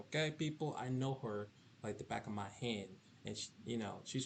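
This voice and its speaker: Lively in its intonation, an unremarkable speaking voice goes along at a fairly quick pace. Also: man. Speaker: student podcast co-host. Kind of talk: casual interview. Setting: podcast.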